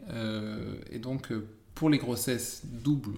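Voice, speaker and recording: At a very slow pace, a man speaks at a medium pitch with ordinary pitch variation, and audible room echo is present. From northern France, Amiens. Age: 30s. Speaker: expectant father of triplets. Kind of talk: casual chat.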